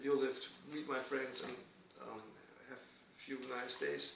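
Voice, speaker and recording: Speaking fairly slowly in a German accent, a man is heard over noticeable background noise and audible room echo. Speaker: guitarist and music professor. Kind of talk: casual interview. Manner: halting.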